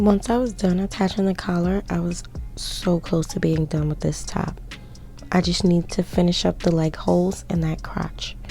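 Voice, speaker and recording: At a moderate pace, the speech runs over music in the background. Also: woman. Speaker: sewing YouTuber. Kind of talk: tutorial. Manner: casual, chatty.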